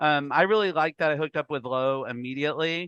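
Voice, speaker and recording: Against a quiet background, a man speaks at a fairly quick pace with a fairly high pitch. His tone is animated, bright and sharp, in a dry, close sound with no echo. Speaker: reality game contestant. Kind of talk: interview. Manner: fast.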